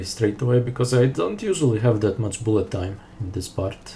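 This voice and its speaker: A man with a fairly low voice speaks with fairly even intonation. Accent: non-native. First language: not English. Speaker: speedrunner. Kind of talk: gameplay commentary. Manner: unscripted, halting with fillers.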